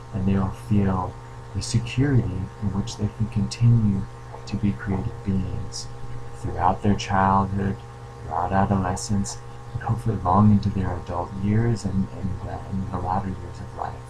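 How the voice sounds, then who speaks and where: Soft-spoken and fairly low in pitch, a man swings his pitch very widely over noticeable background noise and audible room echo. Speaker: creativity coach. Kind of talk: video Q&A monologue. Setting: at home. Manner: hesitant with fillers.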